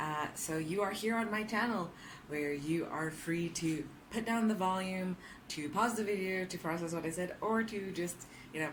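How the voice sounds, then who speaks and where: Audible room echo surrounds a woman's fairly low voice, which moves at a moderate pace with ordinary pitch variation. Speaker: vlogger. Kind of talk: casual vlog monologue. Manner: loud; talkative, lots of fillers.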